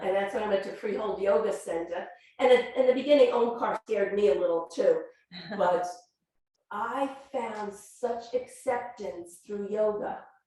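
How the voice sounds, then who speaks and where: A woman with a fairly high pitch and ordinary pitch variation speaks at a fairly slow pace, with audible room echo around her. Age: 60s. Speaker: yoga student and volunteer yoga teacher. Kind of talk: sharing circle testimony. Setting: yoga studio group circle.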